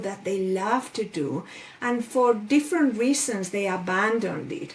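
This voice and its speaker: A woman with a Spanish accent talks at a fairly slow pace with lively intonation over noticeable background noise. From Spain. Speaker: life coach. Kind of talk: interview.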